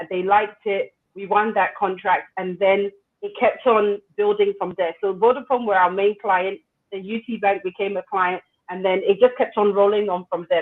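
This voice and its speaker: This woman talks at a moderate pace. She speaks in a British accent. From England (London). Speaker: entrepreneur. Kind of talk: interview.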